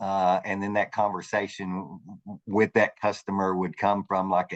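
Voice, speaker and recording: A man with a Southern US accent speaks at a moderate pace in a very deep, low voice, his intonation monotone and flat, the sound dry and close with no echo against a quiet background. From US South. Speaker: customer experience manager. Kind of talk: panel discussion.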